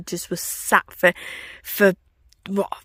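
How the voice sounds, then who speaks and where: The speech comes in a Yorkshire accent with monotone, flat intonation. The sound is dry and close with no echo, on a very clean recording with a silent background. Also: woman. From Yorkshire, northern England. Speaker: travel vlogger. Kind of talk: casual vlog chat.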